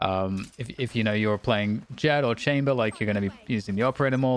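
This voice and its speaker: This man speaks in a British accent at a fairly quick pace. His pitch is fairly low, with ordinary variation. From UK. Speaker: gaming streamer. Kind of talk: casual gaming stream chat.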